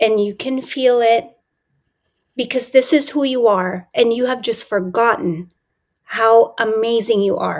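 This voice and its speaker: An ordinary speaking voice with ordinary pitch variation. The pace is fairly slow. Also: woman, fairly high pitch for a woman. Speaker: transformational coach, podcast host. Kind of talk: podcast interview host.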